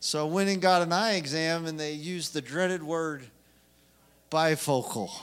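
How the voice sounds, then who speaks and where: Amid audible room echo, a man speaks at a moderate pace with a fairly high pitch and ordinary pitch variation. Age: 40s. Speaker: preacher. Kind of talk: sermon. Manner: impassioned.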